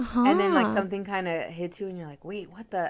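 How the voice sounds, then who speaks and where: This is a woman with a medium pitch. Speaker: podcast co-host.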